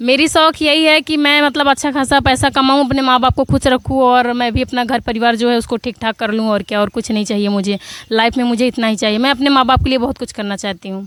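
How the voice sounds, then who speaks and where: A loud, high-pitched woman's voice with ordinary pitch variation and hardly any pauses, in a dry, close sound with no echo. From Prayagraj, Uttar Pradesh. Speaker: comedy video actress. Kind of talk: interview. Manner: loud, sharp-toned.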